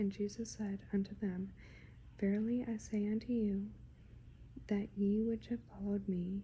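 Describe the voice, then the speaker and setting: Soft-spoken delivery at a fairly slow pace. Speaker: ASMR Bible reader. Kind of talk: scripture reading for sleep and relaxation. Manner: slow, gentle.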